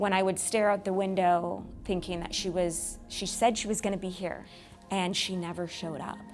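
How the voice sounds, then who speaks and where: A woman with an American accent speaks at medium pitch with fairly even intonation. Music plays in the background. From California. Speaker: Angel Tree Events Manager at a prison ministry. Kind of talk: personal testimony interview.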